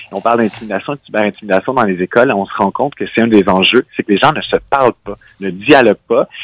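A man with fairly low pitch talks at a very fast pace. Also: ordinary pitch variation, dry, close sound with no echo. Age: 30s. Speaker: nonprofit director. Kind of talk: radio interview.

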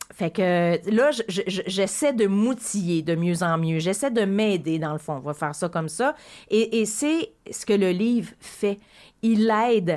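A woman with a Quebec accent talks at a very slow pace and a medium pitch. The recording is very clean, with a silent background. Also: lively intonation. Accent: Québécois French. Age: 40s. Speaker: radio host. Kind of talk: radio interview.

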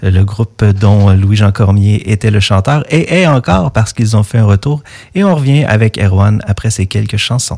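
A man speaks at a fairly slow pace in a fairly low pitch, his tone dark and mellow. His voice is somewhat breathy, and the sound is dry and close with no echo. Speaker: radio host. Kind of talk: casual interview. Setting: studio.

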